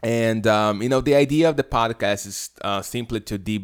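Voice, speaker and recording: In a very clean recording with a silent background, a man with a fairly low pitch speaks with a Brazilian accent. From Brazil, Rio de Janeiro. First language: Portuguese. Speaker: podcast host. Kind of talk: solo podcast introduction monologue. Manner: hesitant, many fillers.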